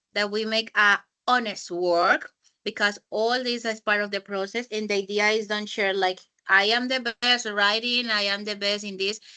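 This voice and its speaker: A woman's bright, sharp, medium-pitched voice, monotone and flat in intonation, at a moderate pace. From Colombia. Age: 20s. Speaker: English teacher. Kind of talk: online class teaching.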